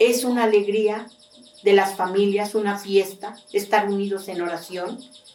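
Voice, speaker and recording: Noticeable background noise and audible room echo surround a woman's voice. She speaks at a medium pitch and a fairly slow pace. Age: 70s. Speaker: traditional prayer leader. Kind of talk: testimony.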